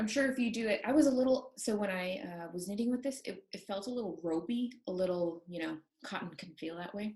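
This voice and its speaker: With hardly any pauses, a woman talks at a fairly quick pace in a medium pitch, her somewhat breathy voice dark and mellow in tone, her intonation lively. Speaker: knitting podcast co-host. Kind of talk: casual chat. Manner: fast.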